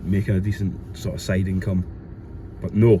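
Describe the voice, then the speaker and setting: A man mumbles in a Glasgow accent. His pitch is fairly low. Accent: Scottish (Glasgow area). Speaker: reseller vlogger. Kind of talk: casual vlog. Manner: mumbling.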